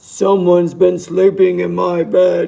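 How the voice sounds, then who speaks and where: This is a put-on character voice, and it is loud. The pace is fairly slow. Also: man. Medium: read story.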